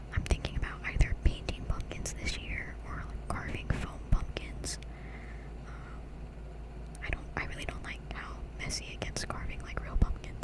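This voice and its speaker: A soft-spoken woman with a very deep, low voice, gentle, relaxed tone and monotone, flat intonation at a fairly slow pace, over noticeable background noise. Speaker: ASMR YouTuber. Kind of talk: ASMR Q&A, whispered and soft-spoken. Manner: soft-spoken, gentle, relaxed.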